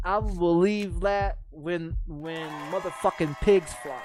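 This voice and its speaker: Someone with an American accent speaks over crowd noise in the background. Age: 30s. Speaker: game streamer. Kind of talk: casual rant. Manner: repetitive, stammering restarts; animated.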